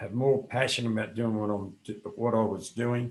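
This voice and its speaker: Speaking at a fairly slow pace, the man has a medium pitch. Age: 60s. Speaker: fitness coach. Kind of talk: interview.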